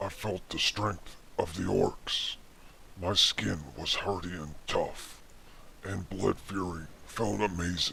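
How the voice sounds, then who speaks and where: There is clear background noise as a man talks at a fairly slow pace. His pitch is very deep and low. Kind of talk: mock-epic fantasy storytelling. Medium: read story. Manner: earnest and dramatic with jokey asides.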